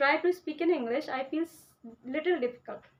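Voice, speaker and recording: The voice belongs to a woman. Her pitch is high, with ordinary pitch variation. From India, Uttar Pradesh. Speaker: vlogger. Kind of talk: casual vlog talk. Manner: halting, many fillers.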